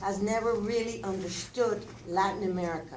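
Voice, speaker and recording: Noticeable background noise and audible room echo. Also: woman. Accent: Spanish. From Cuba, raised in Oklahoma from age six. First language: Spanish. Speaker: community speaker. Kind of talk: public testimony. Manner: impassioned.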